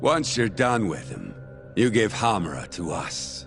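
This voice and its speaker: A man's put-on character voice, raspy and fairly low, with very wide pitch swings, big swings in loudness and a moderate pace over clear music in the background. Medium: video game. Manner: smug, laughing.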